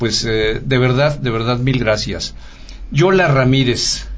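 With audible room echo and noticeable background noise, a man of medium pitch talks at a fairly slow pace with ordinary pitch variation. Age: old. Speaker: radio network director, guest interviewer. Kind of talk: interview. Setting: studio.

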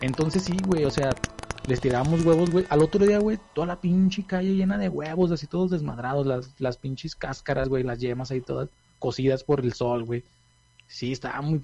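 A man's fairly high voice with lively intonation and a moderate pace, music playing in the background. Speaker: podcast host. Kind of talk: casual chat.

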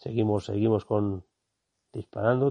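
A man speaks with fairly even intonation. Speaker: photographer and podcast host. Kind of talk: on-location narration. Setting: outdoors in a wildlife hide. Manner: quiet, hushed; halting.

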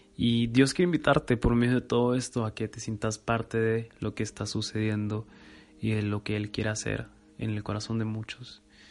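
A man speaks at a moderate pace with a plain, everyday voice, medium pitch and fairly even intonation. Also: quiet background. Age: 20s. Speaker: podcaster. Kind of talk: devotional monologue.

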